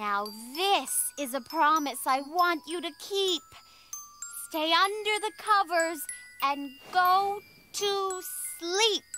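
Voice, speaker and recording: With music in the background, a female-sounding cartoonish character voice speaks at an extremely high pitch and a very slow pace, leaving long, frequent pauses. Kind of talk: bedtime story. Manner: warm, soothing.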